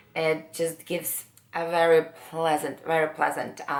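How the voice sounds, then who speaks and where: A woman talks with a very deep, low pitch. Noticeable background noise sits behind her. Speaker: beauty vlogger. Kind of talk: makeup tutorial. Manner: hesitant, many fillers.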